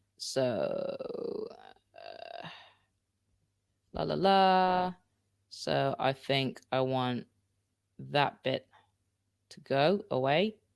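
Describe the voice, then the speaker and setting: A man is shouting. The recording is very clean, with a silent background. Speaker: podcasting tutorial host. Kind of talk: live-streamed tutorial; demo podcast recording. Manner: casual, chatty; loud, shouting a little.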